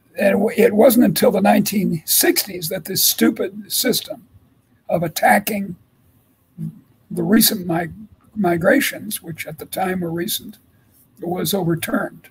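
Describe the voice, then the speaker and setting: An American accent marks this man's speech. He talks at a moderate pace, with long, frequent pauses. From US Midwest, Chicago. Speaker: economics professor. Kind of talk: interview. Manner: halting, with repeated words.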